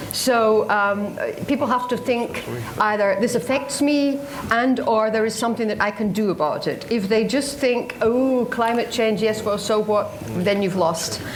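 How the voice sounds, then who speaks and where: Over noticeable background noise and audible room echo, a woman speaks at a fairly high pitch and a fairly slow pace, with very even loudness and ordinary pitch variation. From Scotland. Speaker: radio journalist. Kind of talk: panel talk.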